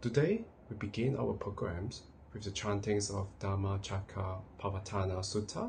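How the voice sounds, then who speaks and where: Over light background noise, a man with a fairly low pitch and a dark, mellow tone speaks somewhat breathily at a moderate pace. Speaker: program host. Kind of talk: scripted announcements. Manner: formal. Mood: calm, polite.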